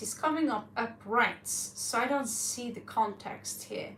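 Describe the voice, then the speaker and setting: Vocal fry in a woman's fairly high, bright and sharp voice, with audible room echo. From Norway. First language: Norwegian. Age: 40s. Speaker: tarot reader. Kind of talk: live tarot reading stream. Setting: livestream with chat.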